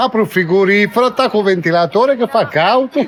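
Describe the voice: This man with a Brazilian accent speaks at a very fast pace with a high pitch and ordinary pitch variation, over noticeable background noise. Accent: Brazilian-sounding Italian.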